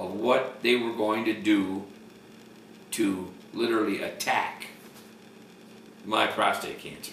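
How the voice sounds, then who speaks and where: A man talks at a fairly slow pace with ordinary pitch variation. There is audible room echo. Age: 70s. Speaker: cancer patient. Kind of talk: testimony. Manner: halting.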